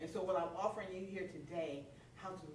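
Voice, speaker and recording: A woman speaks loud at medium pitch and a fairly quick pace. Noticeable background noise and audible room echo surround her. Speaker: minister. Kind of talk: sermon.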